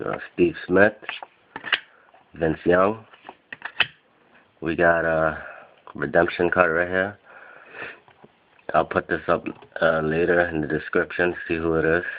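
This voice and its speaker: A man's very deep, low voice at a fairly slow pace, with long, frequent pauses, fairly even intonation and noticeable background noise. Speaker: sports card collector. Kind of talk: box break unboxing commentary.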